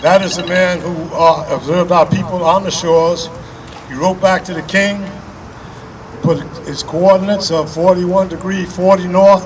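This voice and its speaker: Amid noticeable background noise, a man speaks at a high pitch in a monotone, flat delivery, at a moderate pace, with big swings in loudness and long, frequent pauses. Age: 80s+. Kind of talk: public speech.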